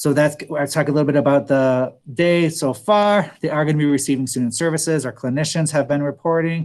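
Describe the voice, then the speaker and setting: With hardly any pauses, a man talks at a fairly quick pace in a fairly high pitch, keeping a fairly even intonation and very even loudness. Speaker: school principal. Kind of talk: presentation to parents. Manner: fast.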